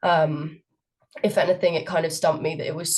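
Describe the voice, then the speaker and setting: A somewhat breathy voice in a southern English accent. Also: woman. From England, Cambridge. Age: 20s. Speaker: student society president. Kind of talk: interview. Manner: hesitant, many fillers.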